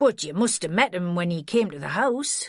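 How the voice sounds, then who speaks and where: A put-on character voice, female-sounding and raspy, comes at a medium pitch and a moderate pace. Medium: read story. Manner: coaxing, plain-spoken.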